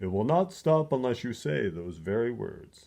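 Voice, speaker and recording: Put on as a character voice, the delivery swings very widely in pitch. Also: man, medium pitch for a man, moderate pace. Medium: read story.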